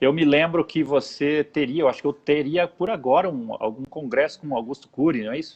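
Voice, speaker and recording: At a moderate pace, a man uses a normal speaking voice, fairly high in pitch, with ordinary pitch variation. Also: big swings in loudness. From interior of São Paulo state, Brazil. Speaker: pastor and show host. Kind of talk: casual chat. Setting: live video broadcast.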